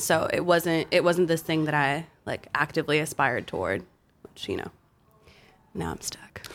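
A woman speaks at a very deep, low pitch with vocal fry and ordinary pitch variation. Her pauses are long and frequent. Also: moderate pace. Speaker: music writer. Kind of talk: casual chat. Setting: studio.

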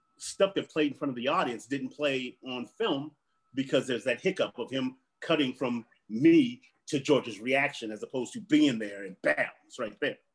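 A plain, everyday voice from a man, medium in pitch with lively intonation and big swings in loudness, at a moderate pace. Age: 50s. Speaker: actor and stand-up comedian. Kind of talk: casual chat.

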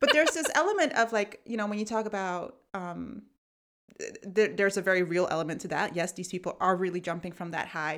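Over a very clean recording with a silent background, a woman with an American accent talks fairly quickly at medium pitch in a plain, everyday voice. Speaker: podcast host. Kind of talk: casual chat. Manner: laughs often.

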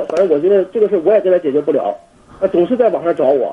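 Man talking at a very fast pace over noticeable background noise. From Jinan, Shandong, China. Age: 20s. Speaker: university exchange student, caller. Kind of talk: phone call-in conversation. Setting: international phone call. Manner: halting, many fillers.

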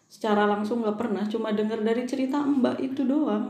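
A woman's fairly high voice with ordinary pitch variation, in audible room echo. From Java, mountain area. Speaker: podcast co-host. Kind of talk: casual chat. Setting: recording at night. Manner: laughs often.

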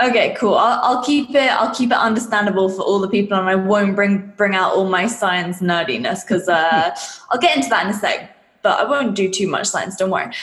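A woman with an English accent speaks at a fairly quick pace and a medium pitch, with ordinary pitch variation. Audible room echo and noticeable background noise surround her. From England. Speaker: fitness coach and business mentor. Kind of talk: interview.

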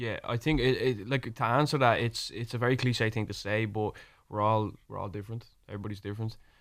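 In an Irish accent, a man talks at a very fast pace with medium pitch and fairly even intonation, on a very clean recording with a silent background. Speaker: rapper. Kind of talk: radio interview. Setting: studio.

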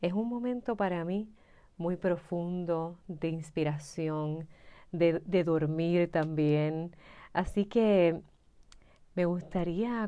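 A woman's dark, mellow voice at a fairly low pitch with ordinary pitch variation, over a quiet background. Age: 30s. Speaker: astrology mentor podcaster. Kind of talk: reflective solo monologue.

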